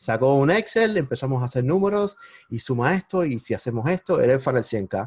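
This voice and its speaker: A man talks with a somewhat breathy quality, his pitch swinging very widely. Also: medium pitch for a man, fairly quick pace. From Cuba. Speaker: digital marketing entrepreneur. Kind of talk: interview. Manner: animated.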